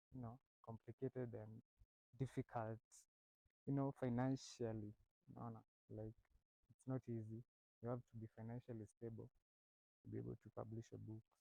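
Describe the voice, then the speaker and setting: A man's medium-pitched, dark and mellow voice at a moderate pace, monotone and flat, with long, frequent pauses and a dry, close sound with no echo. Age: 20s. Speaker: university student and author. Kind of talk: interview. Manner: hesitant, many fillers.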